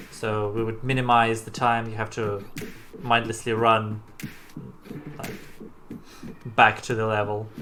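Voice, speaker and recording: A man speaks at a medium pitch with monotone, flat intonation, a fairly slow pace, long, frequent pauses and big swings in loudness. Audible room echo and noticeable background noise surround his voice. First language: Russian. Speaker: game developer. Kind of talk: live-stream commentary. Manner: halting.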